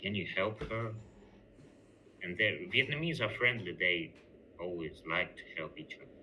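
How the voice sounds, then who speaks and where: Speaking at a moderate pace with a non-native accent, a man uses a fairly low pitch and lively intonation, with big swings in loudness and long, frequent pauses. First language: not English. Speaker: job applicant, English teacher. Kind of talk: job interview. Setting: video call. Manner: halting.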